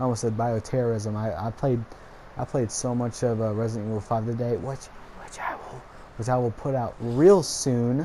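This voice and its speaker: A man talks at a moderate pace with a medium pitch and fairly even intonation. Noticeable background noise sits behind him. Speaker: gaming YouTuber. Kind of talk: casual vlog monologue. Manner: rambling, frequent filler words.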